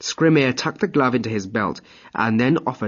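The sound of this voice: A reading voice that sounds unforced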